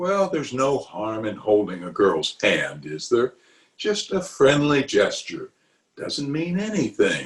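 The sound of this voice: A man speaks slowly in a put-on character voice, fairly low-pitched with a slightly husky edge and very wide pitch swings.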